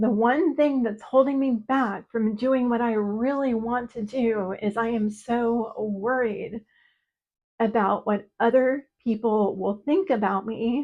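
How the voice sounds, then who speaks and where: A woman speaks at a very slow pace in a fairly high pitch. Her pitch varies in an ordinary way. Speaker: writing teacher. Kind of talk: casual talk to camera. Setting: solo video to camera.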